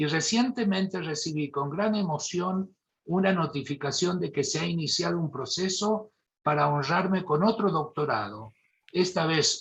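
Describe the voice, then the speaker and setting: The speaker has a Mendoza accent and lively intonation. The pace is fairly slow. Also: man. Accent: Mendoza Argentine. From Argentina, Mendoza. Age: 70s. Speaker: neurosurgeon. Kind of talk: lecture.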